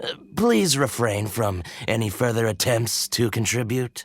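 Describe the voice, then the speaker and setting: Put-on character voice from a man at medium pitch, moderate pace. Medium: video game. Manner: polite, effusive.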